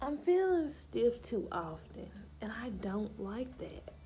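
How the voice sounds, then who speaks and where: Music plays in the background and audible room echo surrounds a woman speaking at a very slow pace in a Southern US accent. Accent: Southern country. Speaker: lifestyle vlogger. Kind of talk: casual chat. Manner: stumbles over words.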